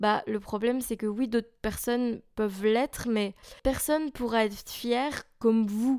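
This very clean recording with a silent background has a woman speaking at a fairly high pitch with ordinary pitch variation. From Belgium, near Charleroi. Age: 20s. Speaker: podcaster and musician. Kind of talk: casual monologue.

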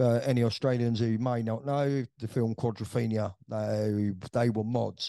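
In a London accent, a man speaks at a medium pitch and moderate pace with a dark, mellow tone against a quiet background. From West London, England. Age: 60s. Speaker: veteran club DJ. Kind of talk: interview storytelling.

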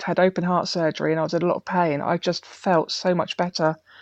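This woman talks very fast with an English accent, her pitch fairly low and her intonation fairly even. The sound is dry and close, with no echo. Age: 40s. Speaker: heart failure patient. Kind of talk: personal testimony interview.

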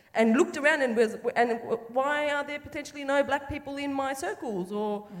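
Someone with an Australian accent talks at a fairly quick pace against noticeable background noise. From western Sydney, Australia. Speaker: filmmaker. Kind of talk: panel conversation on stage. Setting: theatre stage with live audience.

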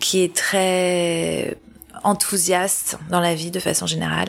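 A woman is speaking. Her pace is very slow. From Paris, France. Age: 40s. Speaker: humanitarian worker. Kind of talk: testimony. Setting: at the host's home.

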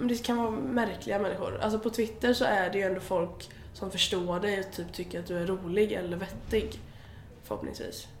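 Noticeable background noise and audible room echo accompany a woman's medium-pitched voice. She speaks at a moderate pace with ordinary pitch variation. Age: 20s. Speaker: blogger and influencer. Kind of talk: casual interview. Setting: agency office in Gothenburg.

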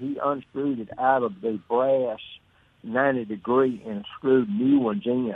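In a Southern US accent, a man speaks at a medium pitch and a moderate pace with ordinary pitch variation. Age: 80s. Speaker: caller. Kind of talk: casual chat. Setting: phone call.

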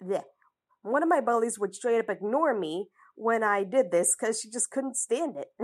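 At a moderate pace and a fairly high pitch, a woman speaks with lively intonation against a quiet background. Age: 20s. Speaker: fiction writer and podcaster. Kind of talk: casual advice monologue. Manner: halting, with frequent laughs.

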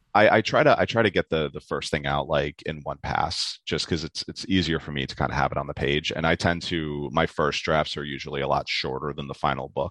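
With hardly any pauses, a man talks at a fairly quick pace in a very deep, low pitch. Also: fairly even intonation. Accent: New York. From New York City. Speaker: novelist. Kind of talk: interview.

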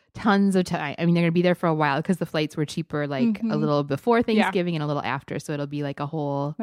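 Very deep and low in pitch, a woman with a Wisconsin accent talks at a very fast pace with hardly any pauses, in an enthusiastic tone with ordinary pitch variation, on a very clean, dry, close recording with a silent background and no echo. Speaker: podcast co-host. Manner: chatty, enthusiastic.

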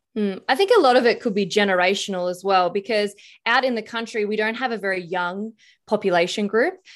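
Against a quiet background, a woman with an Australian accent speaks at a medium pitch and a fairly quick pace, her intonation fairly even. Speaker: political commentator and former detective. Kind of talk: casual interview.

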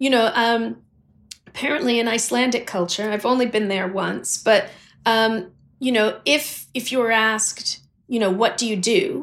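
An American accent comes through in a plain, everyday voice. The pace is moderate and the pitch varies in an ordinary way. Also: woman, fairly high pitch for a woman. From US, Washington DC and Los Angeles. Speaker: gallery director and curator.

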